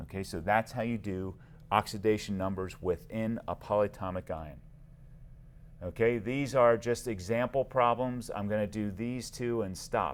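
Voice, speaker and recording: The speaker is a man with a plain, everyday voice and a fairly low pitch. He keeps a moderate pace with ordinary pitch variation. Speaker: chemistry teacher. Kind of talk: lecture. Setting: screencast recording.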